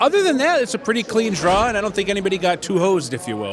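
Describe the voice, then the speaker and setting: A man speaks at a very fast pace with very wide pitch swings over noticeable background noise. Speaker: horse race caller. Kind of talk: interview answer. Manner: conversational, relaxed.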